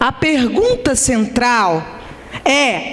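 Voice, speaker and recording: Her voice sits high in pitch for a woman. Noticeable background noise can be heard. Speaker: economics professor. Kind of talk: conference lecture. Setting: conference hall with audience. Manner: slow.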